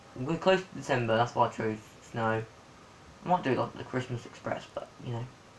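The speaker talks at a moderate pace over light background noise. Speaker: gamer. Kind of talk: casual gameplay commentary. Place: home room. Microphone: phone near.

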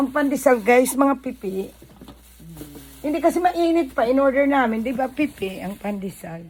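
Over noticeable background noise, a woman with a high pitch speaks at a moderate pace, her intonation lively and her loudness swinging widely. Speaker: vlogger and small shop owner. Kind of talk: casual chat.

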